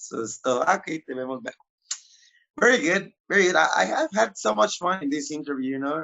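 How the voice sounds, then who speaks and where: Speaking at a fairly quick pace with a Spanish accent, a man uses a fairly high pitch that swings very widely. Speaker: magician interviewer. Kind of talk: interview.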